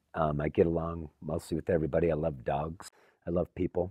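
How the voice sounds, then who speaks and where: Talking at a fairly quick pace, a man has a very deep, low voice. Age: 50s. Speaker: recovering addict, photographer. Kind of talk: documentary interview.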